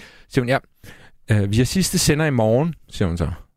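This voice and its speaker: A man with an ordinary speaking voice talks at a moderate pace with lively intonation, in a very clean recording with a silent background and a dry, close sound with no echo. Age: 40s. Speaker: radio host. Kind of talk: casual chat. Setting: studio.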